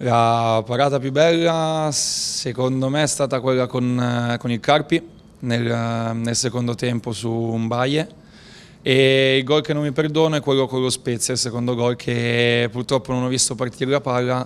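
Slowish and fairly even in intonation, a man speaks at a fairly slow pace. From northern Italy, Novara (Piedmont); Piedmont, Italy. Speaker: professional football goalkeeper. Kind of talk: post-match interview. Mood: calm, measured. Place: hall. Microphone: handheld.

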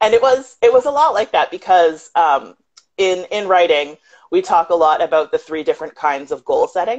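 Against a quiet background, a woman speaks at a moderate pace. Her pitch swings very widely. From southwestern Ontario, Canada. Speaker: author; guest. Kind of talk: casual interview. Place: home room. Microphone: video call.

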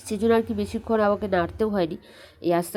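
Fairly even intonation marks a woman's voice, which has a dark, mellow tone. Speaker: cooking vlogger. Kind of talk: cooking tutorial voiceover. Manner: halting.

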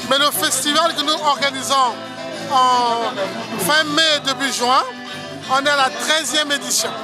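With a raised, projected voice, a man speaks at a very slow pace in an extremely high pitch, with fairly even intonation, long, frequent pauses, a dry sound with no echo and clear music in the background. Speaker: storyteller and author. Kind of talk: interview answer. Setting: outdoors. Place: street. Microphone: phone near.

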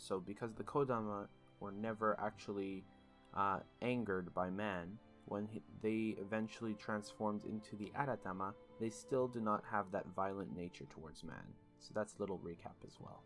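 Over background music, a man with a fairly low voice speaks at a moderate pace, his loudness swinging widely. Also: ordinary pitch variation. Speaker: gaming video creator. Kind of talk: game guide narration.

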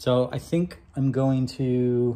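The man has a dark, mellow tone. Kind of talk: casual vlog chat. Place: street. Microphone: phone near.

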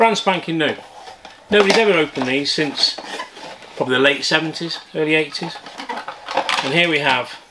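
A man talks at a moderate pace, his pitch varying in an ordinary way, as noticeable background noise carries on. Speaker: toy collector reviewer. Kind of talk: casual toy review vlog. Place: shop.

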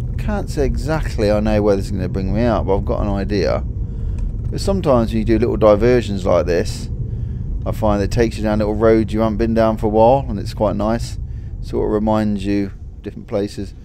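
Noticeable background noise runs under this clip. A man speaks at a fairly quick pace. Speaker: driver vlogger. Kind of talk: casual vlog chat. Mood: relaxed, content. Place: car.

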